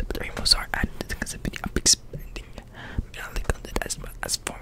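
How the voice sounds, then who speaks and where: Whispering, a man speaks at a moderate pace. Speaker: ASMR creator. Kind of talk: ASMR whispered reading. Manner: whispered. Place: home room. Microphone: studio mic.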